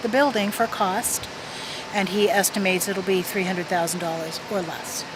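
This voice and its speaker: Someone talks at a fairly quick pace with fairly even intonation over noticeable background noise. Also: woman. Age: 60s. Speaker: former funeral director. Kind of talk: radio interview.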